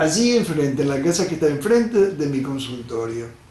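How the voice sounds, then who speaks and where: The speaker has an Argentine accent. Audible room echo and noticeable background noise fill the recording. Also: man. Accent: Rioplatense Argentine Spanish. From Argentina, Rosario. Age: 70s. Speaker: doctor. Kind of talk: lecture.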